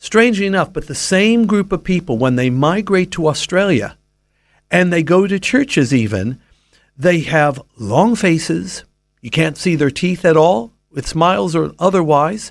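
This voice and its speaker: A man with an American accent, high-pitched and fairly slow, with lively intonation on a very clean recording against a silent background. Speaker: Bible teacher. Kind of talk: radio interview on faith.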